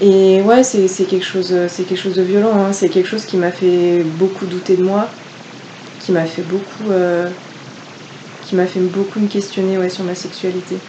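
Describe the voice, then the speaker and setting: The voice moves at a moderate pace with long, frequent pauses and monotone, flat intonation. Noticeable background noise sits underneath. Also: woman, medium pitch for a woman. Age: 20s. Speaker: law student. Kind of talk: casual chat.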